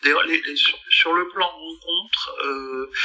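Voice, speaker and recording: A man speaks over noticeable background noise. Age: 60s. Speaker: dentist and comic artist. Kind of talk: casual chat.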